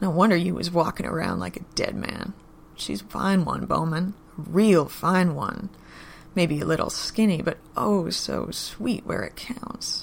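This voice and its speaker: A put-on character voice, gravelly and at middle pitch, moves at a moderate pace. Clear background noise runs underneath. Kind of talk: rough, low-class. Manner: smug, menacing.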